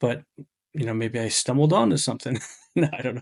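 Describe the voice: A man's raspy, slightly mellow voice at medium pitch, with vocal fry, lively intonation and a fast pace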